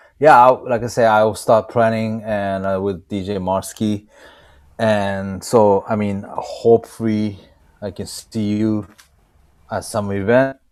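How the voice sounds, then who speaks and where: This man talks at a fairly slow pace. His fairly low voice holds a monotone, flat intonation. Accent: Japanese. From Japan, Osaka. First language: Japanese. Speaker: DJ. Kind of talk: casual chat. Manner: halting.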